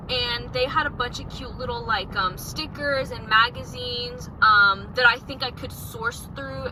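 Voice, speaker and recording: The woman talks fairly slowly, with noticeable noise behind her. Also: big swings in loudness. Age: young. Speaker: vlogger. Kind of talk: casual vlog talk to camera. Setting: outdoors on the street.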